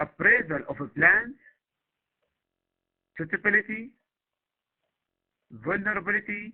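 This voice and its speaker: A man speaks at a fairly slow pace and a high pitch, with ordinary pitch variation. He takes long, frequent pauses. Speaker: university lecturer. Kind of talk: lecture. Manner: halting.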